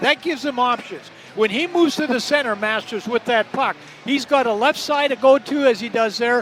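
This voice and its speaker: With noticeable background noise behind him, a man speaks at a fairly quick pace in an extremely high pitch. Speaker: hockey color commentator. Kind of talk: live sports color commentary, analytical. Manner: conversational.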